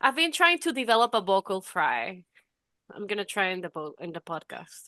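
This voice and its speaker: Over a quiet background, a woman with a non-native accent and a bright, sharp, medium-pitched voice speaks at a moderate pace, her pitch swinging very widely and her loudness shifting a great deal, in a dry, close sound with no echo. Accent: noticeable non-native English. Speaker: podcast co-host. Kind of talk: casual chat.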